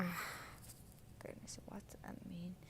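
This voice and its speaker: A woman talks with a Chinese accent. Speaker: English learner reading aloud on own channel. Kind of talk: reading aloud; casual reflection. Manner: halting, with hesitations and repeated words; hesitant with fillers.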